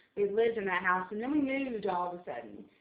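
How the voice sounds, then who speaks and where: A woman speaks with an American accent at a fairly high pitch. Her pitch varies in an ordinary way, and there is noticeable background noise. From South Carolina, US. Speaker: vlogger. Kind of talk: casual vlog monologue. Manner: loud; hyper, rambling with fillers.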